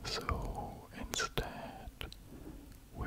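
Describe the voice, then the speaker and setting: A soft-spoken man is whispering. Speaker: content creator. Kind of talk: casual vlog chat. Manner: close, soft ASMR whisper.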